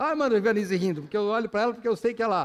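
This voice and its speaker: The man's pitch is extremely high. His pitch variation is ordinary. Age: 60s. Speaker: pastor. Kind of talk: sermon. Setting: church.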